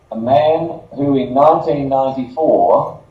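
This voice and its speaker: In an Australian accent, a man speaks at a very slow pace. Audible room echo surrounds the recording. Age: 60s. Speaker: marketing director and former lawyer. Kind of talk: conference presentation.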